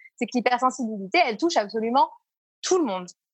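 Somewhat breathy, this voice moves at a fairly quick pace with very wide pitch swings in a dry, close sound with no echo. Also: woman. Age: 30s. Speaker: entrepreneur, founder of a support network. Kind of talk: casual interview.

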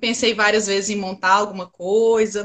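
Raising and projecting her voice, a woman speaks at a fairly quick pace in a bright, sharp tone. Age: 30s. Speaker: trader, former systems analyst. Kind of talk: interview.

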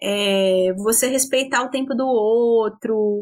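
Very slowly, a woman speaks at a high pitch. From interior of São Paulo state, Brazil. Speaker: anthropologist. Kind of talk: interview conversation. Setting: video call.

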